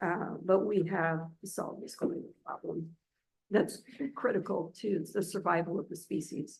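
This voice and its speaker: At a fairly slow pace, a woman speaks at medium pitch in a somewhat breathy voice with fairly even intonation. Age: 60s. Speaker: state agency director. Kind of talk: public board meeting report.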